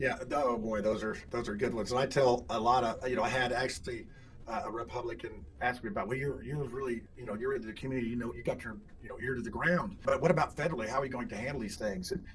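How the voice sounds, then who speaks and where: Lively intonation marks a man speaking at a very fast pace and medium pitch. The recording has audible room echo and noticeable background noise. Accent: American. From Indiana. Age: 60s. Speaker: political candidate. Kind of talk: interview. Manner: halting, many repeats and fillers.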